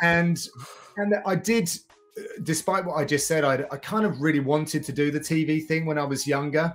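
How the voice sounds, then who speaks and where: Music plays in the background as a man speaks. His pitch is fairly high and his intonation fairly even. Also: moderate pace. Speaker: MMA commentator and presenter. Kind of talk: interview conversation.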